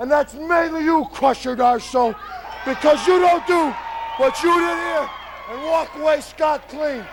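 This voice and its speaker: A man with an angry, intense tone speaks at a fairly slow pace in an extremely high pitch with ordinary pitch variation, crowd noise sounding in the background. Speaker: professional wrestler. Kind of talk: wrestling promo interview.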